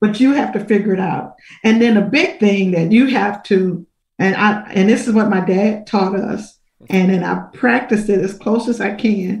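A somewhat breathy woman's voice at medium pitch and a moderate pace. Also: ordinary pitch variation. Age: 60s. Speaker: minister. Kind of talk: testimony.

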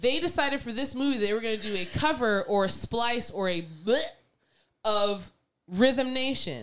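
A woman's fairly high voice at a moderate pace, with lively intonation. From Canada. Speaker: podcast co-host. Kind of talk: casual chat. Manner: animated.

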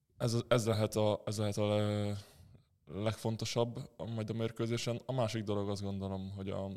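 In a very clean recording with a silent background, a man with a fairly low pitch talks at a moderate pace in a monotone, flat intonation. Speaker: professional handball player. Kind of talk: interview. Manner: halting.

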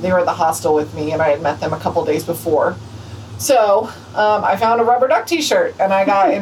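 Noticeable background noise sits behind a woman talking at a very fast pace. Her pitch is medium and her intonation lively. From New Mexico, Albuquerque. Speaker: thru-hiker and new veterinarian. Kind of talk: casual interview. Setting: hostel.

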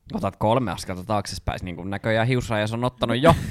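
Against noticeable background noise, the speech moves at a fairly quick pace with ordinary pitch variation. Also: man. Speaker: podcast co-host. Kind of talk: casual chat.

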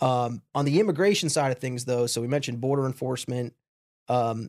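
Here a man talks with an American accent at a medium pitch, varying it in an ordinary way. The sound is dry and close with no echo, and he has an unremarkable speaking voice. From New York, Long Island. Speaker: political science professor. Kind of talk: interview.

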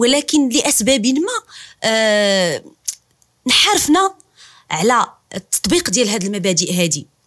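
Speaking in a Moroccan accent, a woman with a fairly high pitch moves at a fairly slow pace with long, frequent pauses and very wide pitch swings. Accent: Moroccan Darija. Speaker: podcast host. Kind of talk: interview.

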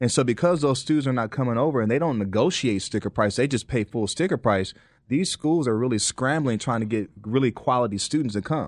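Over a quiet background, a man with a plain, everyday voice speaks at a medium pitch and a fairly quick pace, with ordinary pitch variation and hardly any pauses. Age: 40s. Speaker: college admissions coach. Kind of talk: interview.

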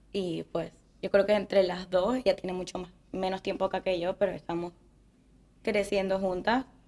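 A woman with a Venezuelan accent speaks at a medium pitch. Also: moderate pace. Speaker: engineer. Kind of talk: casual chat. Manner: animated.

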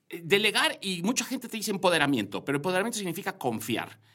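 This man's fairly high voice has a bright, sharp tone, vocal fry and very wide pitch swings. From Yucatán, Mexico. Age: 40s. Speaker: corporate director. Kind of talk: interview conversation. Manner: halting, many fillers and repetitions.

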